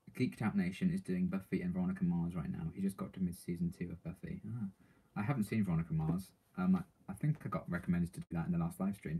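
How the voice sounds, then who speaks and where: A man with a British accent at a very fast pace. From Britain. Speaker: TV reaction streamer. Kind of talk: live stream chat reading comments. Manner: casual, hesitant with many ums.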